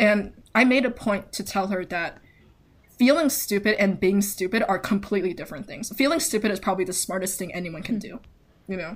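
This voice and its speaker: Lively intonation at a fairly quick pace, somewhat breathy, on a very clean recording with a silent background. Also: woman, medium pitch for a woman. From Taiwan. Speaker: podcast host. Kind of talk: casual chat.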